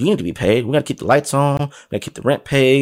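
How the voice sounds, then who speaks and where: On a very clean recording with a silent background, a man of medium pitch speaks in an animated tone. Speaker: sales and marketing podcast host. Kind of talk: solo monologue, motivational sales talk. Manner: fast talker; animated, persuasive.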